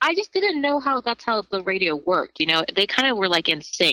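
Her pitch swings very widely as the woman speaks at a fairly quick pace. The tone is bright and sharp, and the sound is dry and close with no echo. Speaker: beginning stand-up comedian, podcast guest. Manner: casual, conversational.

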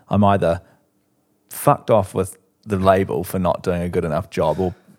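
Speaking with a New Zealand accent, a man with a very deep, low pitch moves at a moderate pace with fairly even intonation. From New Zealand, Christchurch. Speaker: musician. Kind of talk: casual chat. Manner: halting.

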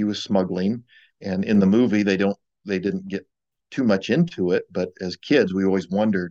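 Dry and close with no echo, a man's dark, mellow voice in an American accent holds a fairly low pitch, fairly even intonation and a moderate pace. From Ohio, US Midwest. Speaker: novelist and firefighter paramedic. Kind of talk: interview conversation.

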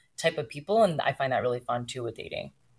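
The recording is very clean, with a silent background. A woman with an American accent speaks at a very deep, low pitch. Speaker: podcast host and podcast strategist. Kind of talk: casual interview chat.

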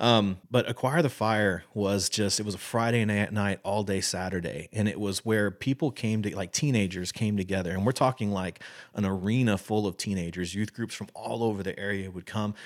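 On a very clean recording with a silent background, a man with a Texan accent talks at a moderate pace in a fairly low pitch with ordinary pitch variation. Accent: Texan American English. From Texas. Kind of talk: interview conversation.

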